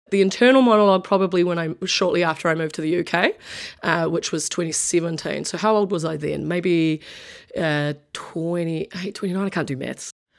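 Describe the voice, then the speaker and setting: At a moderate pace, a woman with a New Zealand accent speaks in a fairly low pitch. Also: ordinary pitch variation. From New Zealand, Wellington. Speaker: sports writer and rugby player. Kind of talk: interview.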